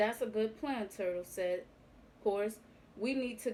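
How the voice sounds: The voice reads in a natural way. That natural reading voice runs throughout.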